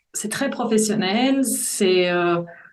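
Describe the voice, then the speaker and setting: The talking goes at a very slow pace, with audible room echo. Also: woman. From Brussels, Belgium. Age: 40s. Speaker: voice-over artist. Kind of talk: interview testimony. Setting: podcast.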